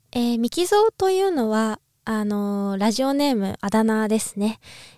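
A woman's fairly high voice, dry and close with no echo, on a very clean recording with a silent background. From Japan, Niigata. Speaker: ballet dancer and podcaster. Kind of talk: casual solo podcast talk. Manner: halting, many fillers.

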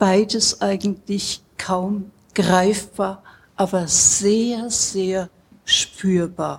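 A woman speaks very slowly in a monotone, flat intonation. Her voice is somewhat breathy. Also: medium pitch for a woman. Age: 70s. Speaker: psychosomatic medicine doctor. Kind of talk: interview. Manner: hesitant, many fillers.

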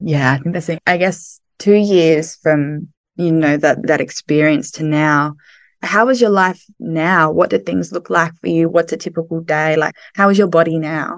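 In an Australian accent, a woman speaks at a moderate pace against a quiet background. Her pitch is fairly low with ordinary variation. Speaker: podcast host. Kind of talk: casual interview. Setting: video call.

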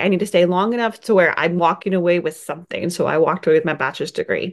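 Against a quiet background, a woman with an American accent speaks at a fairly low pitch. Her tone is animated, with ordinary pitch variation. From California. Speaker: podcast host and marathon pacer. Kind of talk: personal story monologue.

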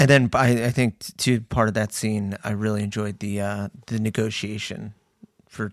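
At a moderate pace, a man speaks in a plain, everyday voice with fairly even intonation and a dry, close sound with no echo. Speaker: podcast host, sports card collector. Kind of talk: casual banter. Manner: joking, sarcastic.

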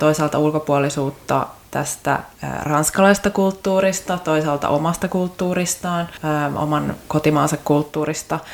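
A woman's very deep, low voice at a fairly slow pace, fairly even in intonation, with noticeable background noise. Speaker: podcast host. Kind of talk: casual interview.

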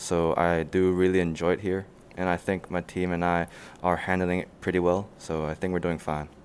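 Very deep and low, a man's voice holds a monotone, flat intonation at a moderate pace on a very clean recording with a silent background. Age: 20s. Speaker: university student and intern. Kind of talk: casual interview. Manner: halting, many fillers and repeats.

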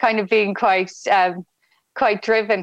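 A woman with a Dublin accent speaks at a moderate pace and a fairly high pitch. The sound is dry and close with no echo. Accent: Irish (Dublin). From Ireland, Dublin. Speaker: medtech entrepreneur. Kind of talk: interview.

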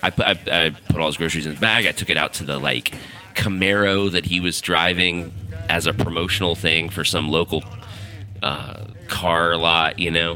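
Very deep and low in pitch, a man talks at a moderate pace. His intonation stays fairly even against noticeable background noise. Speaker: podcast host. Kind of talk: casual monologue.

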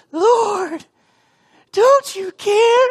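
The pitch of this put-on character voice is extremely high. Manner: distressed, pleading.

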